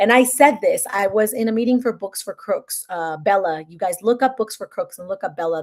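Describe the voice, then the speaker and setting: Recorded very cleanly with a silent background, a woman speaks at a medium pitch and a fairly quick pace. Her tone is animated and her intonation is lively. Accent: Spanish. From Mexico. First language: Spanish. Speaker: content creator and author. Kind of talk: livestream chat. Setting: live stream.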